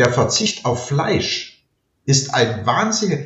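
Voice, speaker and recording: At a very slow pace, a man with a fairly high, somewhat breathy voice speaks with lively intonation. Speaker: retired law professor. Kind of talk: interview.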